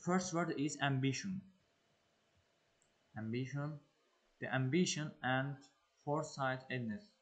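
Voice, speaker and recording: Speaking at a fairly slow pace with long, frequent pauses, a man with a non-native accent has a fairly high pitch and ordinary pitch variation. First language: not English. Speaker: English learner and exam-prep tutor. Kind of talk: tutorial. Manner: halting, many fillers.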